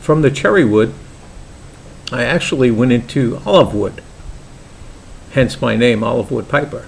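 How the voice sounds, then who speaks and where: Speech comes at a moderate pace with an ordinary pitch variation, in a Brooklyn accent. Long, frequent pauses break it up, and noticeable background noise is present. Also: man, medium pitch for a man. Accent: Brooklyn New York. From New York, Brooklyn. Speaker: pipe maker and hobby vlogger. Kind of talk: casual vlog introduction. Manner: hesitant, many fillers.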